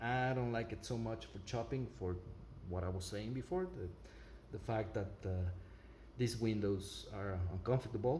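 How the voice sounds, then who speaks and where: With audible room echo and noticeable background noise, a man talks at a moderate pace and a fairly low pitch, using ordinary pitch variation and long, frequent pauses. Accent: non-native. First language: not English. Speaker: product reviewer. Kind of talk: product review with demonstration. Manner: halting, many fillers.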